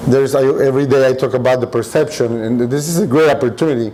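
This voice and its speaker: Over noticeable background noise and audible room echo, a man talks fairly quickly at a medium pitch with ordinary pitch variation. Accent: Spanish. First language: Spanish. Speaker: restaurant owner. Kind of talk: podcast interview.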